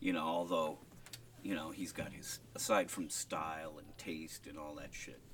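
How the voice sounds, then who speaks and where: At a moderate pace, a man speaks with an American accent, his loudness swinging widely. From Minnesota. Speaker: banjo player, experimental musician. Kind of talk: interview. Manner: laid-back, halting.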